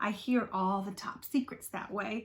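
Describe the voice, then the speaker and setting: A woman does a put-on character voice with a rumbling quality at a medium pitch. Her intonation is fairly even and her pace moderate. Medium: read story. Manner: grumbling, discontented.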